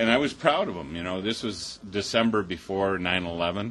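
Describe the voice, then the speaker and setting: Fairly low-pitched male speech with an Upper Midwest accent, bright and sharp in tone, at a moderate pace with fairly even intonation. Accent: Upper Midwest American. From Chippewa Valley, Wisconsin. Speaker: peace activist, military parent. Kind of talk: personal testimony talk. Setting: mosque event with audience.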